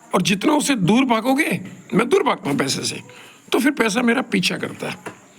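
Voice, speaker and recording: Over noticeable background noise, a man speaks with extremely high pitch and very wide pitch swings. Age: 70s. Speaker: professor giving talks. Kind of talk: solo monologue talk. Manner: rambling conversational.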